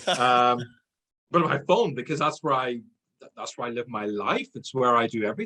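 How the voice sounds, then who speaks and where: Irish accent, bright and sharp in tone, with ordinary pitch variation, a moderate pace and big swings in loudness. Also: man, medium pitch for a man. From Ireland. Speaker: sales trainer. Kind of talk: interview podcast.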